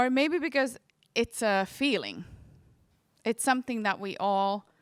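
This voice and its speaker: With a Finnish accent and a fairly high pitch, a woman speaks at a fairly slow pace with long, frequent pauses, in a very clean recording with a silent background and a dry, close sound with no echo. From Finland. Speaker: dance educator. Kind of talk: conference talk; guided movement exercise.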